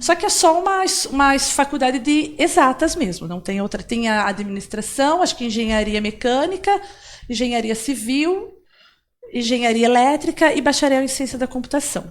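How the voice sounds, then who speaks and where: In a very clean recording with a silent background, a woman talks at a high pitch with very wide pitch swings. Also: moderate pace. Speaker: software developer. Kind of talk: interview.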